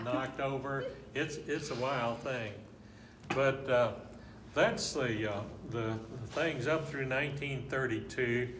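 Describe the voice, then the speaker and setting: A medium-pitched man with an Arkansas accent, very slow and fairly even, with long, frequent pauses and noticeable background noise. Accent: Southern US (Arkansas). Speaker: local historian, former rodeo rider and air traffic controller. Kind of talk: oral history interview answer.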